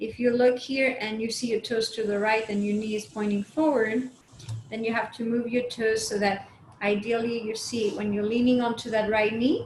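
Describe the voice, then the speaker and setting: A woman with a non-native accent speaks at a fairly high pitch and a moderate pace, in a calm tone with monotone, flat intonation, over noticeable background noise. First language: not English. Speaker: movement and chair yoga instructor. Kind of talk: guided exercise class. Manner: calm, instructional.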